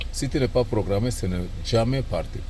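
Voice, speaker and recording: Non-native accent from a man at a moderate pace, ordinary pitch variation, noticeable background noise. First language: not French (speaking French). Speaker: auto mechanic. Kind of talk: tutorial. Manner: halting, repeats words.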